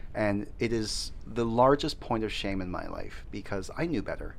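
A man with a Canadian accent at a moderate pace, in audible room echo. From Canada. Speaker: teacher. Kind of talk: casual chat.

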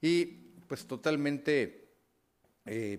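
Ordinary pitch variation marks a man's speech, captured on a very clean recording against a silent background. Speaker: radio news host. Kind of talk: radio talk show.

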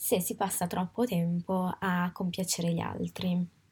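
A woman's somewhat breathy, medium-pitched voice at a very slow pace, in a very clean recording with a silent background. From Italy. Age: 20s. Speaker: podcast host. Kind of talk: personal reflective monologue. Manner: halting, with frequent fillers.

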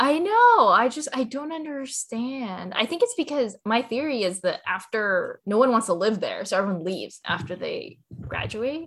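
A woman with a Californian accent speaks at a moderate pace in a high pitch, her voice swinging very widely and hardly pausing at all. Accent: General American (Californian). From Southern California (Cerritos). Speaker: food startup co-founder. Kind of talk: interview.

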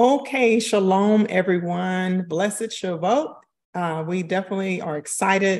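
The delivery is fairly slow, with ordinary pitch variation. Overall, it is a plain, everyday voice. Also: woman. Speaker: co-host moderator. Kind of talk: live stream intro and scripture reading. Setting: live stream.

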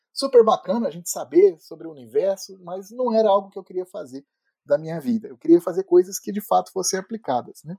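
A man speaks at a fairly quick pace with lively intonation, his high-pitched voice dark and mellow in tone, recorded dry and close with no echo. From Brazil, Petrópolis (Rio de Janeiro state). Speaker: neuroscience professor. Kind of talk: interview. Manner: halting, many fillers.

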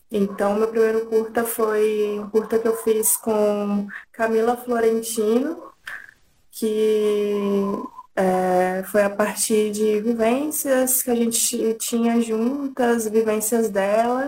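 Over music in the background, a woman speaks very slowly at a fairly high pitch with fairly even intonation. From interior of São Paulo state, Brazil. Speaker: filmmaker. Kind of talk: interview.

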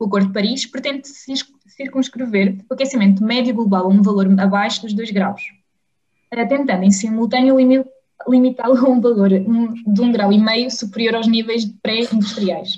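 Using an ordinary speaking voice, a woman with fairly high pitch talks at a moderate pace with fairly even intonation. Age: 20s. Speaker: pharmacy student association director, podcast host. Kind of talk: interview.

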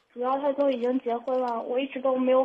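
A woman speaks at a high pitch in a monotone, flat intonation. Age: young. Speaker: caller. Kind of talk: advice call-in. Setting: phone call. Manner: halting.

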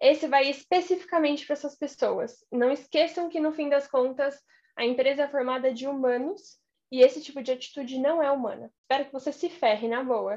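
Her pitch high and its variation ordinary, a woman talks at a fairly quick pace. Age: 20s. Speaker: career mentor. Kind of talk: casual chat.

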